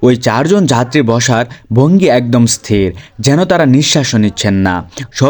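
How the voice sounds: The clip features a natural reading voice. Its intonation is lively.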